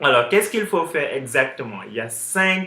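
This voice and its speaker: Speaking with an English accent, a man uses very wide pitch swings at a moderate pace. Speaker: online business coach. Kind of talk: tutorial. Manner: halting, many fillers.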